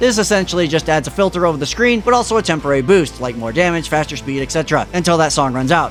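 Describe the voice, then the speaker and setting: Over music in the background, a man talks at a very fast pace with a fairly high pitch and lively intonation. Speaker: game reviewer. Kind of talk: video game review narration. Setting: home studio.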